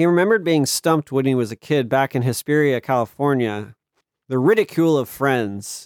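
Quiet surroundings, a natural reading voice, and ordinary movement in pitch

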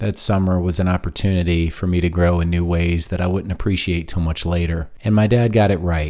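A man with an American accent speaks in a very deep, low pitch, his tone dark and mellow and his intonation fairly even. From US South. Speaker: podcast host. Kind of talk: solo monologue podcast. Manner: conversational.

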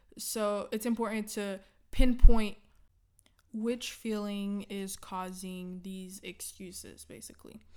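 A woman talks very slowly in a monotone, flat way at a medium pitch. Her loudness swings widely. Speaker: podcast host. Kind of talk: casual solo podcast chat. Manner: laughs often, casual.

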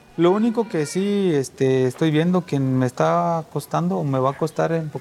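Music plays in the background. A man's voice moves through very wide pitch swings. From Guatemala. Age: 30s. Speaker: refugee. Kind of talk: testimony.

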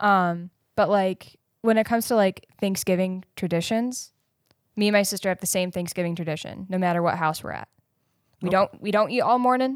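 A plain, everyday voice from a woman, medium in pitch with ordinary pitch variation, at a fairly quick pace, in a dry, close sound with no echo. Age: 20s. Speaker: podcast co-host. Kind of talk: casual chat.

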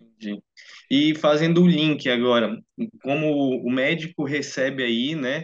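A fairly slow, fairly high-pitched male voice with a Brazilian accent and ordinary pitch variation. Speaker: medical student. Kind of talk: interview.

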